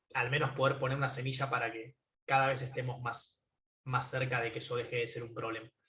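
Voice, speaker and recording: The speaker is a man with an Argentine accent. His voice sits at a medium pitch. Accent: Rioplatense Argentine Spanish. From Argentina, Buenos Aires (Caballito). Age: 20s. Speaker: tech entrepreneur. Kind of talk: conference talk. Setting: video call from home. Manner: hesitant fillers.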